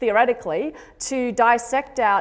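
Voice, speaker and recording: The speaker has an Australian accent and talks at a fairly slow pace. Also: woman. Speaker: genetics professor and extension lead. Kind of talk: conference talk.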